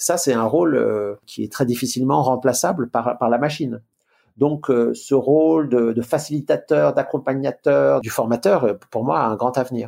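A man speaks at a fairly slow pace in a dark, mellow tone, his medium pitch showing ordinary variation. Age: 60s. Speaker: management consultant and author. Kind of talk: interview.

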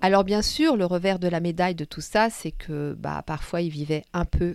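On a very clean recording with a silent background and a dry, close sound with no echo, a woman with an unremarkable speaking voice talks at a moderate pace and a fairly low pitch. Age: 50s. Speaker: podcast host and storyteller. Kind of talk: personal storytelling. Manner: warm, gentle.

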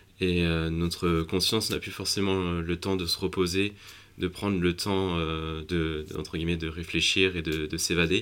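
A man speaks with a very deep, low voice. His intonation stays fairly even at a fairly slow pace. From France. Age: 20s. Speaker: young filmmaker and adventurer. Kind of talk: interview. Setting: cinema at a film festival. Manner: halting, many hesitations and repetitions.

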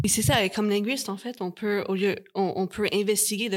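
This very clean recording, silent in the background, has a woman talking at a moderate speed. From Canada. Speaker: linguistics researcher. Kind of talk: panel interview. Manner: halting, many repetitions.

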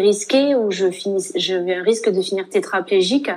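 A woman has an ordinary speaking voice at medium pitch. She talks at a fairly quick pace with fairly even intonation. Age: 20s. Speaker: nurse and author. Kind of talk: interview testimony.

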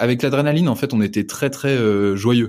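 The man speaks with ordinary pitch variation. The recording is very clean, with a silent background. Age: 20s. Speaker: entrepreneur and father. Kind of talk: casual interview chat.

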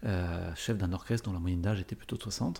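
A man speaks with a very deep, low pitch and a dark, mellow tone. His voice is somewhat breathy, at a moderate pace. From France, Paris area. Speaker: orchestra conductor and corporate speaker. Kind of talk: interview.

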